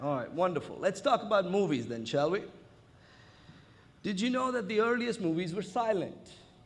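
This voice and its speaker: Audible room echo surrounds this recording. A man speaks with lively intonation. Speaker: conference speaker. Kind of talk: conference talk. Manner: loud.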